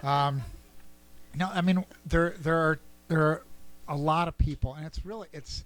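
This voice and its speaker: A man speaks in a fairly high voice with ordinary pitch variation. His loudness swings widely, and he leaves long, frequent pauses. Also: moderate pace. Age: 50s. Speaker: chamber of commerce director. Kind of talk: radio interview.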